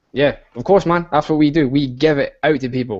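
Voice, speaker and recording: Speaking at a fairly quick pace in a Scottish accent, the voice shows ordinary pitch variation. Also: man. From Scotland. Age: 20s. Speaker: online business coach. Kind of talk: live stream chat. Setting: video call. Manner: fast; animated.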